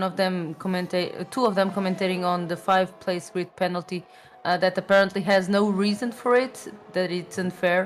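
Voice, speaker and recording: The speech has a Portuguese accent and a monotone, flat intonation. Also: woman. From Portugal. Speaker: esports co-commentator. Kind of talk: live commentary.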